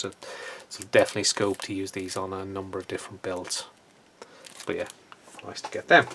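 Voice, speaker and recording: Using a very deep, low pitch and a relaxed tone, a man speaks with an Irish accent. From Ireland. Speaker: scale model hobbyist YouTuber. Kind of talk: casual video update. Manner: relaxed with many hesitations.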